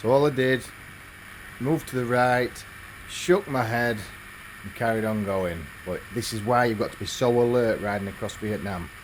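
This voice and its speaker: A man's medium-pitched speech in an English accent, with ordinary pitch variation, a moderate pace and noticeable background noise. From England. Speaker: motorbike travel vlogger. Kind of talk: travel vlog narration.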